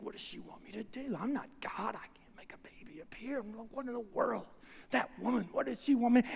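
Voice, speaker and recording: Using a put-on character voice, a female-sounding speaker talks at a fairly quick pace and a fairly high pitch, with big swings in loudness and light background noise. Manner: muttering, exasperated.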